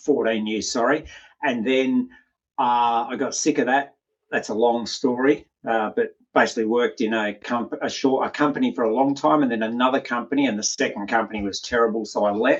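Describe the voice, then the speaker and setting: Speaking with an Australian accent, a man keeps his intonation fairly even. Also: medium pitch for a man. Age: 50s. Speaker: health and performance coach. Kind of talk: interview. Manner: casual, frank.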